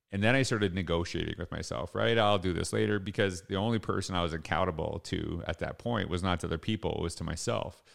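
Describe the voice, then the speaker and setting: A man talks very fast with hardly any pauses, vocal fry, and lively intonation. His very deep, low voice sits in a very clean recording with a silent background. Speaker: educator and motivational podcast host. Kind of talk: solo motivational talk. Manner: casual, many fillers.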